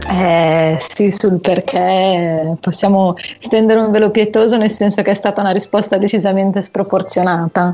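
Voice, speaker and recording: A woman's dark, mellow voice at a medium pitch, fairly even in intonation, moderate in pace and very even in loudness. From Pavia, northern Italy. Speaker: caller. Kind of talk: casual chat.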